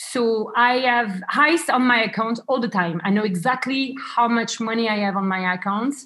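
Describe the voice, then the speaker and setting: The recording is very clean, with a silent background. A woman with a fairly high voice and a French accent speaks at a fairly slow pace with ordinary pitch variation. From France. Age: 30s. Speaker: travel and wedding planner. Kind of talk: interview.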